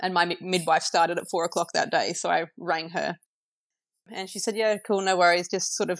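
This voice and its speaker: Very fast speech in an Australian accent keeps a fairly even intonation, the sound dry and close with no echo. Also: woman. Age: 30s. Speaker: new mother sharing birth story. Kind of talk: casual interview. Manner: hesitant, lots of fillers.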